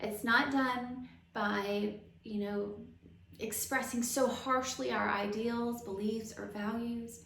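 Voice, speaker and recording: A woman's fairly high voice in a Southern US accent, at a fairly slow pace with fairly even intonation, plus audible room echo and noticeable background noise. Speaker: astrologer. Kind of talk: casual monologue about astrology.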